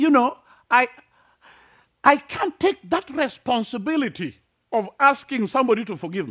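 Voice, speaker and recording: Against a quiet background, a man with a Kenyan accent speaks at an extremely high pitch. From Kenya, rural village near Lake Victoria. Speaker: preacher. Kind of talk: sermon. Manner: halting, many fillers.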